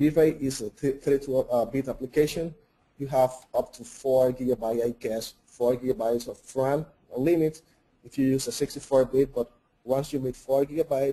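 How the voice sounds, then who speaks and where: A man with a Spanish accent, medium-pitched, with a dark, mellow tone, fairly even intonation and a moderate pace. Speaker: 3D artist and software trainer. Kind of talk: webinar Q&A. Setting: online webinar.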